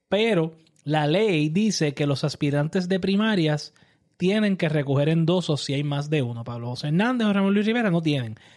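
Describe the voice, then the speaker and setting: A man with a plain, everyday voice and fairly high pitch talks at a moderate pace with lively intonation. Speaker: political podcast co-host. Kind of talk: casual political discussion.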